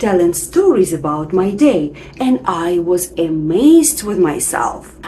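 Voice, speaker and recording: Over noticeable background noise, someone with a non-native accent speaks very slowly, the pitch swinging very widely. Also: woman. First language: not English. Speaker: English teacher. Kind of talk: tutorial.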